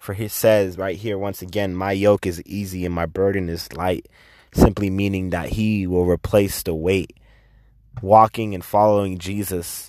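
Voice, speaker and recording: With an American accent, a man speaks at a moderate pace in a very deep, low voice, with fairly even intonation. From Texas, south side of Fort Worth. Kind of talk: casual personal testimony. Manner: earnest, fervent preaching cadence with rising rhetorical questions; stammering repetitions, laughing mid-sentence.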